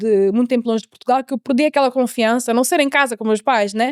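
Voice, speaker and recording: A high-pitched female voice in a very clean recording with a silent background, dry and close with no echo. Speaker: mentor, interviewee sharing life story. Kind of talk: interview testimony. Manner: halting, with repetitions and English code-switching.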